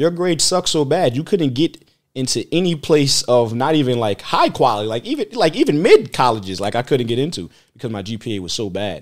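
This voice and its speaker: A man's pitch swings very widely in a very clean recording with a silent background. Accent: American. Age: 30s. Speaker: churchgoer telling his faith story. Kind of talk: testimony. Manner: halting.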